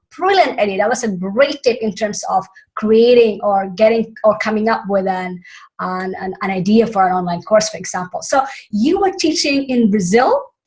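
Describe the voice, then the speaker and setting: A woman's somewhat breathy, fairly high voice with a Filipino accent, lively intonation and a moderate pace. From Philippines. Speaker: summit host. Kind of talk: interview.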